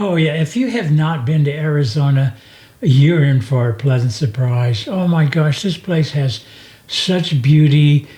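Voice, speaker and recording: A man talks at a fairly slow pace in a fairly high, dark, mellow and somewhat breathy voice, with ordinary pitch variation and very even loudness. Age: old. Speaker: podcast host. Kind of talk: casual chat.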